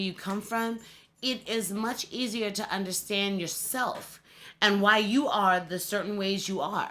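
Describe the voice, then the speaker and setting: A woman speaks loudly at a medium pitch in a bright, sharp and animated tone. Her pace is fairly slow, with ordinary pitch variation. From US East Coast. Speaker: bodybuilder and singer. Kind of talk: casual interview.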